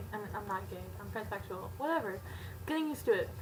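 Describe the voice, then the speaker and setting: A quiet woman's voice over noticeable background noise. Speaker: video blogger. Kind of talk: casual chat.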